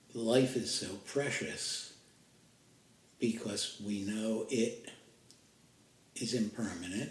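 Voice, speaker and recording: A man speaks very slowly at a medium pitch, with long, frequent pauses. His voice is somewhat breathy, and his intonation is fairly even. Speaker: meditation guide; podcaster. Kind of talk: guided meditation. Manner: slow, with pauses.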